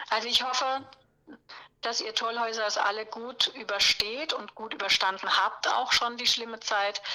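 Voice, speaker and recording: Fairly slow speech from a woman, pitched fairly high. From southern Palatinate, Germany. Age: 50s. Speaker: cabaret singer and presenter. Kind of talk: interview.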